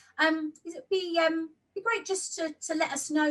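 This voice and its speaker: Her pitch is high. A woman speaks at a fairly slow pace. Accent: Essex. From Essex, England. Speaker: interviewer. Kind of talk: interview. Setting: video call.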